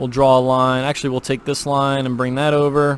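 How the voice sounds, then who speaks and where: Fairly high-pitched, a man talks at a fairly quick pace. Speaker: CAD tutorial creator. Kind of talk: tutorial. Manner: fast; casual with fillers.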